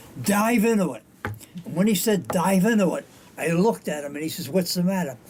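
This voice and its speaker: A high-pitched man's voice rises and falls with lively intonation as noticeable background noise carries on behind it. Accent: American. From Rhode Island, US. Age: 90s. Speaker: war veteran. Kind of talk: life story interview. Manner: animated.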